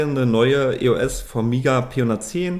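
With a plain, everyday voice, the man speaks at a medium pitch that varies in an ordinary way. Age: 30s. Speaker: 3D printing service provider, company director. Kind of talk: casual chat.

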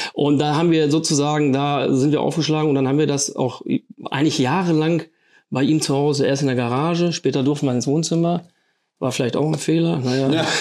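Fairly high in pitch, a man talks at a fairly quick pace with fairly even intonation and very even loudness. He has an ordinary speaking voice, set against a quiet background. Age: 50s. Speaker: rock music club board member. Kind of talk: casual chat.

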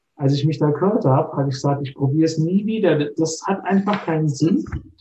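A man's somewhat breathy, dark and mellow voice, fairly quick, with ordinary pitch variation. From Palatinate, Germany (Neustadt an der Weinstraße). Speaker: organic winemaker. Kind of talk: casual chat.

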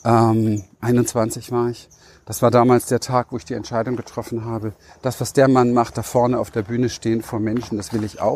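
At medium pitch and a moderate pace, a man speaks in a monotone, flat way on a very clean recording with a silent background. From Berlin, Germany. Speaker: life and business coach. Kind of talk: motivational monologue.

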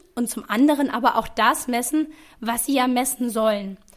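A woman speaks at a fairly slow pace in a high pitch with ordinary pitch variation. The recording is very clean, with a silent background. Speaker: podcast co-host, researcher. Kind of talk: scripted podcast discussion.

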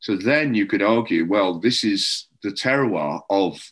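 A man speaks very slowly in a Welsh accent. His pitch is medium, with ordinary variation. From North Wales. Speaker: beer writer and judge. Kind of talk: casual chat.

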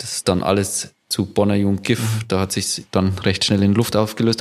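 A man is speaking. His pace is fairly slow. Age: 40s. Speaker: company founder and managing director. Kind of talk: casual interview.

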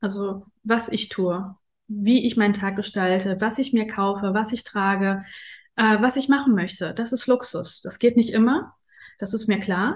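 A woman speaks at a fairly slow pace in a fairly high, somewhat breathy voice with fairly even intonation. The background is quiet. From Afghanistan, raised in Germany from age ten. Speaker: interview guest on luxury and spirituality. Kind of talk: casual interview. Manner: hesitant, many fillers.

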